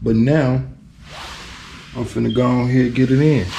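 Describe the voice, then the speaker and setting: The speech is relaxed in tone, moderate in pace, and monotone and flat in intonation. Noticeable background noise and audible room echo are present. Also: man. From Chicago. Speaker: DIY car restorer vlogger. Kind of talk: casual vlog commentary. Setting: garage. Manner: halting, stuttering; relaxed, laid-back.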